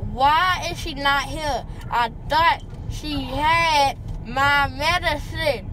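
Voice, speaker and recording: A woman's raised, projected voice, dry with no echo, amid noticeable background noise. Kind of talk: drowsy rambling chat. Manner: groggy, slurred, numb-mouthed speech. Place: car. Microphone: phone near.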